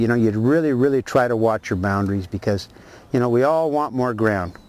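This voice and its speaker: This man speaks with an American accent at a medium pitch and a moderate pace. His pitch varies in an ordinary way. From Martinez, California, US. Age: 60s. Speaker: rancher. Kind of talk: oral history interview. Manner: halting, many repetitions and fillers.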